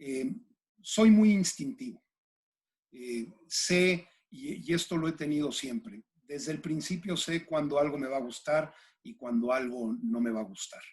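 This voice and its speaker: This man talks at a fairly slow pace with a fairly high pitch. His pitch swings very widely. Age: 60s. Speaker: executive coach. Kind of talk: interview. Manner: halting, with many fillers.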